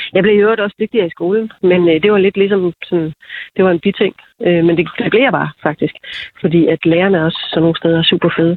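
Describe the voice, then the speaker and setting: A woman at a medium pitch, very fast, with fairly even intonation and very even loudness. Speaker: TV programme participant. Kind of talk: interview. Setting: phone call.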